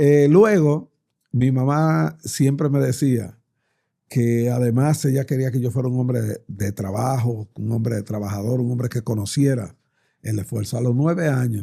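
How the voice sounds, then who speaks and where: At a fairly slow pace, a man speaks in a dark, mellow tone at medium pitch with ordinary pitch variation. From Dominican Republic. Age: 60s. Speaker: politician. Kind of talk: interview.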